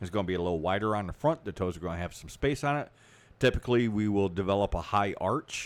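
Speaking at a very fast pace, a man with a fairly low pitch and lively intonation comes through on a very clean recording with a silent background. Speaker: podcast co-host. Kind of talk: casual chat.

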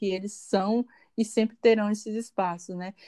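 Recorded dry and close with no echo, a woman with a dark, mellow tone speaks at a medium pitch and moderate pace. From Brazil, Porto Nacional, Tocantins. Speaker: university professor. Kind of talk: podcast interview.

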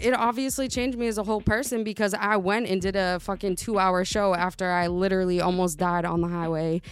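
Over music in the background, a woman speaks at a fairly quick pace with fairly even intonation. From US, Italian and Puerto Rican family. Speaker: podcast co-host guest, artist. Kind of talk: casual chat.

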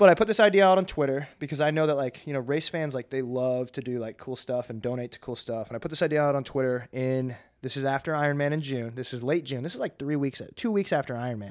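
With an American accent, a man talks at a very fast pace with hardly any pauses. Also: fairly high pitch for a man, ordinary pitch variation. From Arkansas, US South. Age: 20s. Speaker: hybrid athlete coach. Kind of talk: casual interview chat. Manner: animated.

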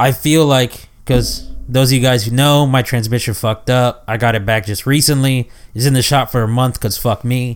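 A man talks at a medium pitch. His pace is moderate and his intonation fairly even. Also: very clean recording, silent background. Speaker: podcast co-host. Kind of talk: casual chat.

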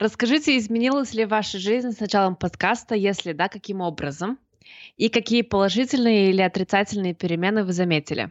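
Fairly quick pace with ordinary pitch variation. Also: woman, medium pitch for a woman. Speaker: podcast co-host. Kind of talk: live podcast chat.

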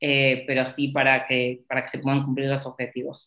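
A woman talks at a fairly quick pace. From Argentina. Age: 30s. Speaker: corporate lawyer. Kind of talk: interview. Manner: hesitant, many fillers.

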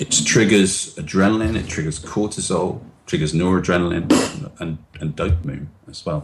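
A man's very deep, low voice with ordinary pitch variation at a moderate pace, over noticeable background noise. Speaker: NLP trainer and author. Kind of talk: interview explanation. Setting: video call.

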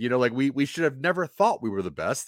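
A man speaks in an unremarkable speaking voice with an American accent, at a medium pitch and with lively intonation. The recording is very clean, with a silent background. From Maryland and Delaware. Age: 40s. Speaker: comedian. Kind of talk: casual chat.

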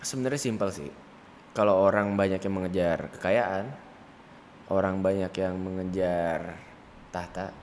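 Audible room echo surrounds a man's very deep, low voice with fairly even intonation. He speaks at a fairly slow pace with long, frequent pauses. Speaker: young entrepreneur and event organizer. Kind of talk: casual interview chat.

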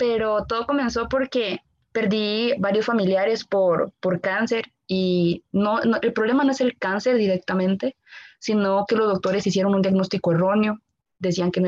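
A woman's medium-pitched voice at a moderate pace, fairly even in intonation, with a dry, close sound and no echo. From Costa Rica. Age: 20s. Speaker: medical student. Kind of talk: interview.

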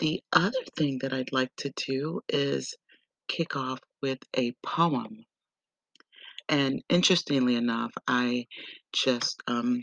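Very slow and broken by long, frequent pauses, a woman speaks at a very deep, low pitch with ordinary pitch variation. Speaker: podcast host. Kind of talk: casual podcast monologue.

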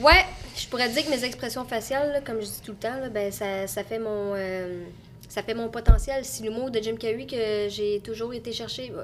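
A woman with a Quebec accent speaks at a moderate pace, her pitch fairly high with ordinary variation. Her loudness swings widely. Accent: Québécois French. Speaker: content creator. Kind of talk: casual chat. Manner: animated.

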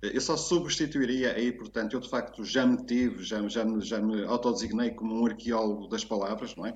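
A man with an ordinary speaking voice talks at a moderate pace and medium pitch, with fairly even intonation and hardly any pauses. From northern Portugal, Porto. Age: 50s. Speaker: writer and teacher on language expressions. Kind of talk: casual interview chat.

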